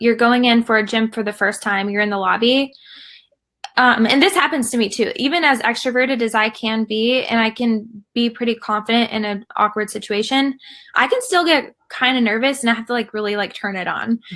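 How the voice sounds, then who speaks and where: A woman with a Southern US accent, a fairly high pitch, a bright, sharp tone, ordinary pitch variation and a fairly quick pace. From US South. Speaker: fitness community founder. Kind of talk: casual chat.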